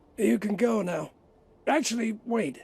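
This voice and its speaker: Putting on a character voice, a man talks raspily at a high pitch and a fairly slow pace with lively intonation. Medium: video game.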